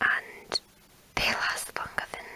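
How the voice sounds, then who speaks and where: A woman whispers very slowly while background noise is clearly heard. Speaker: ASMR creator. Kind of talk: ASMR whisper video. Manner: whispered.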